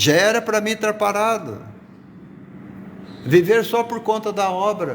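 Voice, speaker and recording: A high-pitched male voice at a fairly slow pace, with ordinary pitch variation and long, frequent pauses. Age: 60s. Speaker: pastor. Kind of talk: sermon. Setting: live stream from workplace.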